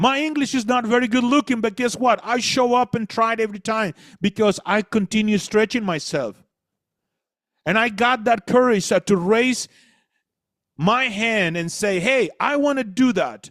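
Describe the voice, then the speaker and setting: Recorded dry and close with no echo against a silent background, a man with a high pitch speaks in a Spanish accent on a very clean recording. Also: ordinary pitch variation, moderate pace. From Latin America. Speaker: motivational speaker. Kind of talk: motivational talk.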